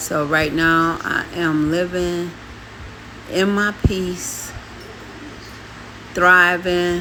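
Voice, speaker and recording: Very slowly and with long, frequent pauses, a woman speaks in a fairly low, monotone, flat voice amid audible room echo and noticeable background noise. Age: 60s. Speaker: vlogger and adoptive mother. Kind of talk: casual storytime vlog.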